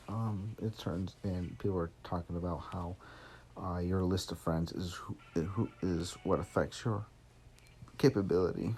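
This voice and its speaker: With an American accent, a man speaks at a moderate pace in a very deep, low, somewhat breathy voice with a dark, mellow tone and ordinary pitch variation. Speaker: gaming streamer; military veteran. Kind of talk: casual gameplay commentary. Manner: halting, frequent pauses.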